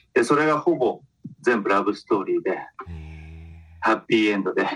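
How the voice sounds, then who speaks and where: A man at a fairly quick pace. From Kitakyushu, Japan. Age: 50s. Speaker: film commission officer. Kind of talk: interview.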